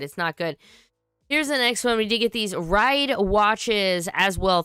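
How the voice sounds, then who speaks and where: A woman speaks with a bright, sharp tone. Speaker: toy and tokusatsu news host. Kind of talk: livestream news chat. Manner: casual, halting.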